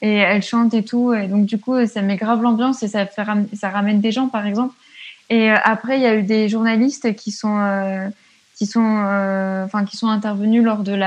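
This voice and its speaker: At a moderate pace, a woman with a fairly high pitch and a somewhat breathy voice speaks in a flat monotone. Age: 20s. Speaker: student and feminist activist. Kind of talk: casual interview. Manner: hesitant, many fillers.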